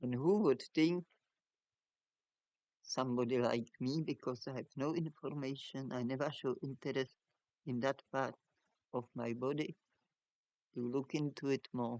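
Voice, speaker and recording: A man's medium-pitched voice at a fairly slow pace, with long, frequent pauses, ordinary pitch variation and a dry, close sound with no echo. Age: 60s. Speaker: fruitarian video blogger. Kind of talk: personal story monologue. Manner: halting, self-correcting.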